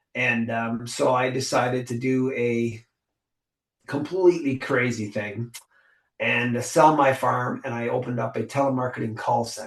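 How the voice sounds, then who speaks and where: At a fairly slow pace, a man talks in a medium-pitched, somewhat breathy voice with ordinary pitch variation. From Ontario, Canada. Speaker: business owner and mentor. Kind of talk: interview conversation. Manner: halting, with repeated words and fillers.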